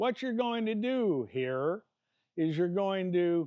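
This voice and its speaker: Very slowly, a man with a Midwestern American accent speaks in a high pitch with lively intonation. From Iowa. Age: 60s. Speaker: martial arts fitness coach. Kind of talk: tutorial. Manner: casual and animated.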